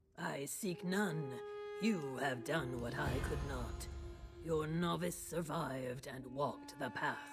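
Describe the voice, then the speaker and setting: A put-on character voice in a low-to-middle pitch at a fairly slow pace, over loud music in the background. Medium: game stream.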